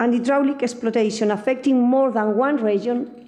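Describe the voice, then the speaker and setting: A woman with a Spanish accent speaks in a fairly high pitch. Audible room echo and noticeable background noise fill the recording. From Spain. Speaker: academic speaker on energy law. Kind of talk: conference talk.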